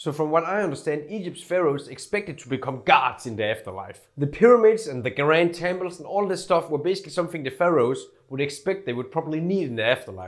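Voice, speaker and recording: In a Scandinavian accent, a man with a fairly high pitch talks at a very fast pace, with lively intonation and big swings in loudness. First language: Scandinavian language. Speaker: YouTuber. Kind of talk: casual scripted video narration. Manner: casual, filler-heavy.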